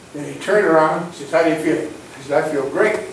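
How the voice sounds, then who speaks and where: Amid noticeable background noise and audible room echo, a man with a fairly high pitch talks at a fairly quick pace. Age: 70s. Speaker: business owner at town hall. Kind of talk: town hall comment. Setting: town hall audience.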